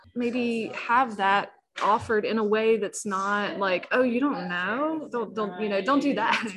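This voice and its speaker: Against noticeable background noise, a woman with an American accent speaks fairly slowly in a fairly high pitch with ordinary pitch variation. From South Carolina (Walterboro). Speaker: pastor. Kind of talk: interview.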